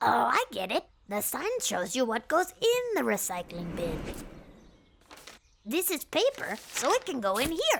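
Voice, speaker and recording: A cartoonish character voice with high pitch and an enthusiastic tone moves at a moderate pace with long, frequent pauses. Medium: puppet show. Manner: bouncy, enthusiastic.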